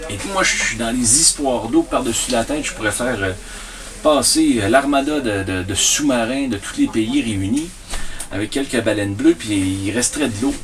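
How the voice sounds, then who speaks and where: Over noticeable background noise, a man speaks at a moderate pace with a medium-pitched voice. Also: ordinary pitch variation. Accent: Quebec. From Quebec. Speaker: storyteller. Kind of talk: interview answer. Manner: hesitant, many fillers.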